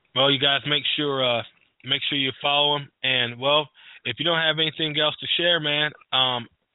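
Fairly high in pitch, a man with an American accent talks at a moderate pace in a monotone, flat intonation. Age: 30s. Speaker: sports radio host. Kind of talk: sports interview. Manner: halting, repetitive.

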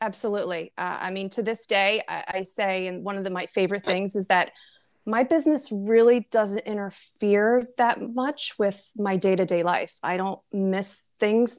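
In an American accent, a woman with an ordinary speaking voice talks at medium pitch and moderate pace, with ordinary pitch variation. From US Northeast, New Jersey. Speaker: direct sales entrepreneur, former pharma professional. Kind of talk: casual interview.

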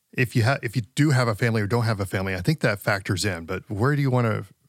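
A man with an unremarkable speaking voice, ordinary pitch variation and a fairly quick pace, in a very clean recording with a silent background. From South Dakota, Rapid City (born West Texas, moved at 11). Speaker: executive pastor. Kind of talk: casual interview.

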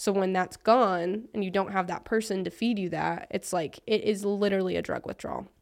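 An ordinary speaking voice at a fairly quick pace with fairly even intonation and hardly any pauses on a very clean recording with a silent background. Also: woman, medium pitch for a woman. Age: 20s. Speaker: motivational content creator. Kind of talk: casual chat.

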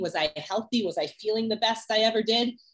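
A woman with a normal speaking voice, fairly high pitch, ordinary pitch variation and a moderate pace. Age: 30s. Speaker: music executive and sprinter. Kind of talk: interview. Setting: in person.

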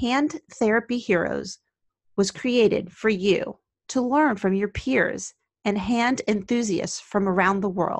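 A woman's plain, everyday voice with an American accent, at a fairly slow pace with ordinary pitch variation and very even loudness, in a dry, close sound with no echo over a quiet background. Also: fairly high pitch for a woman. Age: 50s. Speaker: occupational therapist and podcast host. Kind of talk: scripted narration.

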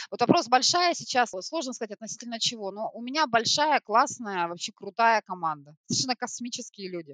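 Recorded dry and close with no echo, a woman speaks with a fairly high pitch, a bright, sharp tone and lively intonation. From Siberia, Krasnoyarsk. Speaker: retail store manager. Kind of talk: corporate podcast interview.

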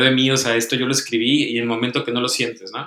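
In an unremarkable speaking voice, the speaker goes at a fairly quick pace. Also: man. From Tijuana, northern Mexico. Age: 20s. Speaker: writer and psychologist. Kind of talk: casual chat.

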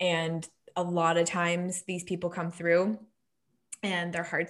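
A woman speaks in an unremarkable speaking voice, fairly low in pitch and at a fairly slow pace. The recording is very clean, with a silent background. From Nova Scotia, Canada. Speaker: digital marketing agency owner. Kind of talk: casual interview chat.

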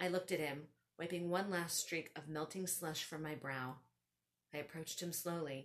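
Talking at a moderate pace, a woman uses a normal speaking voice with a fairly low pitch and fairly even intonation. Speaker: podcast host and author. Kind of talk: storytelling. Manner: comedic.

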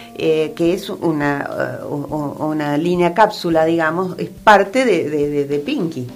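With music in the background and audible room echo, a woman speaks at a very slow pace with hardly any pauses, her fairly low pitch showing ordinary variation. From Argentina, raised mostly in Buenos Aires. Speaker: fashion designer. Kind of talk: radio interview. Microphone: too far from the mic at first.

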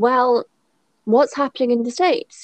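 Someone with a British accent talks at a fairly slow pace with lively intonation. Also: woman. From Britain. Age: 30s. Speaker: podcast co-host, former teacher in China. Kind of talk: casual chat.

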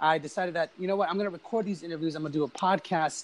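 A man with an American accent speaks in a high pitch. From Los Angeles, California. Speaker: professional drummer and music coach. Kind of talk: casual interview. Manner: animated.

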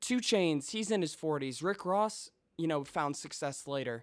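A man speaks with an American accent in an unremarkable speaking voice, fairly high in pitch. The recording is very clean, with a silent background. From Chicago suburbs. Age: 20s. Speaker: musician. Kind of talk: casual chat.

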